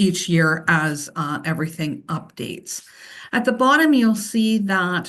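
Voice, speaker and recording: A woman with a medium pitch and lively intonation speaks over audible room echo. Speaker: financial consultant presenting to council. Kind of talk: council presentation. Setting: council meeting. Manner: hesitant with fillers.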